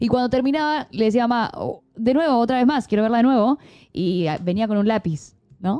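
A woman's fairly quick, fairly high-pitched voice with a dark, mellow tone. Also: lively intonation, very clean recording, silent background. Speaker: streaming show co-host. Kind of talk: casual chat.

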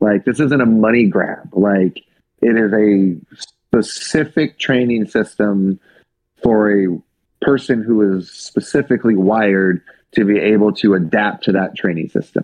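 Talking at a fairly slow pace, a man with an American accent keeps very even loudness and ordinary pitch variation. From US West Coast (Seattle, then Sacramento area). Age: 30s. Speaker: strength coach. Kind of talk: casual interview. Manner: hesitant with frequent fillers.

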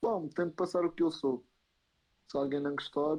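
A man's voice with ordinary pitch variation. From Madeira, Portugal. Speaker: YouTuber and TikToker. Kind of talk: casual chat. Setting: live stream.

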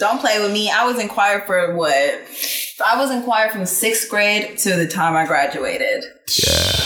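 A woman speaks at a fairly high pitch with an American accent and lively intonation. Her pace is fairly slow with hardly any pauses, and there is noticeable background noise. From Texas. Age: 20s. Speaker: singer and musician. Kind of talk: casual chat.

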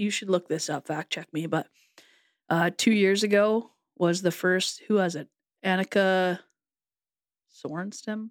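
In a dry, close recording with no echo, a woman with a plain, everyday voice speaks at a moderate pace, her medium pitch held in fairly even intonation. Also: very clean recording, silent background. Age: 30s. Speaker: podcast co-host. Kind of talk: casual chat.

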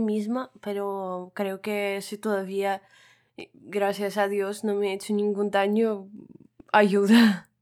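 In a very clean recording with a silent background, a woman talks very slowly. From Russia. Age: 20s. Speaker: podcast co-host. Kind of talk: casual chat.

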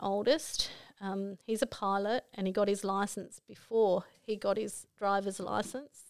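With an Australian accent, a woman speaks at a fairly slow pace and a medium pitch. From Australia, Broken Hill NSW. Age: 50s. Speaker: mother sharing life story. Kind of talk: life story interview.

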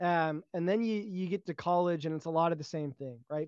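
The speech moves at a fairly quick pace. Behind it the background is quiet. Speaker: ROTC cadet. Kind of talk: casual chat.

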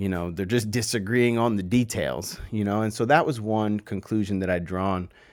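In a very clean recording with a silent background, a man with an unremarkable speaking voice talks at a moderate pace in a fairly low pitch with ordinary pitch variation. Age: 20s. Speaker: podcast host. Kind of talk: casual solo monologue. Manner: casual, many fillers and repetitions.

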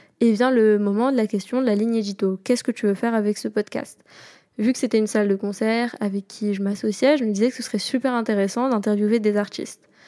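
On a very clean recording with a silent background, a woman speaks very fast in a fairly high pitch, her tone dark and mellow and her intonation fairly even. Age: 20s. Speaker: podcast host. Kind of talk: casual solo monologue.

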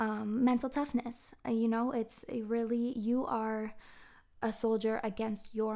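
With an American accent and a fairly high pitch, a woman speaks fairly slowly on a very clean recording with a silent background. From Massachusetts, US (Marblehead near Boston). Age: 30s. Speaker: podcast host, acupuncturist and personal trainer. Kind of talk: casual monologue.

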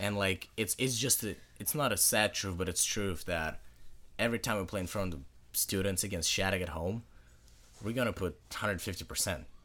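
Fairly quick and fairly low-pitched, a man speaks with a Russian accent. His tone is bright and sharp, with ordinary pitch variation. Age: young. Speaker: high school hockey player. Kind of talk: casual interview.

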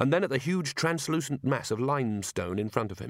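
Plain reading aloud is delivered here with lively intonation.

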